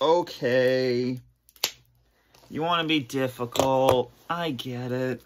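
Noticeable background noise sits behind a man talking at a very slow pace. His intonation is fairly even. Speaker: YouTuber doing unboxings. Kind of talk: casual unboxing vlog; casual unboxing vlog chat. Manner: repetitive, stammering. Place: home room. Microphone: phone near.

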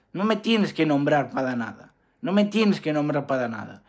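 A man's fairly high-pitched voice comes through on a very clean recording against a silent background. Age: 20s. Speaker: YouTuber. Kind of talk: vlog rant. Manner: halting.

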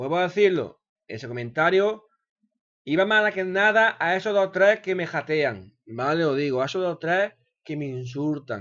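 A man with a high pitch speaks over a quiet background. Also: lively intonation, moderate pace. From Spain. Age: 30s. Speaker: gaming YouTuber. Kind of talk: unedited video monologue. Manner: hesitant, repeats words. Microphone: webcam.

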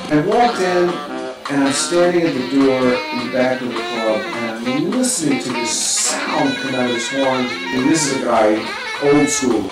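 Heard with clear music in the background and audible room echo, the speech moves at a moderate pace. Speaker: interviewee. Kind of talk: interview answer. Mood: admiring reminiscence. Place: home room.

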